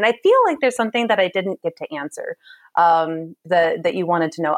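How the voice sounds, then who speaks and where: A woman's medium-pitched voice, dry and close with no echo. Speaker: social entrepreneur, sanitation advocate. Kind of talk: interview. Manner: energetic.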